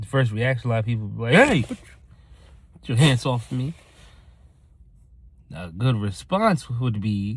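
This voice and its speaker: A man talks loudly at a medium pitch, with ordinary pitch variation. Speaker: motivational vlogger. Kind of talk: motivational talk to camera. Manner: energetic.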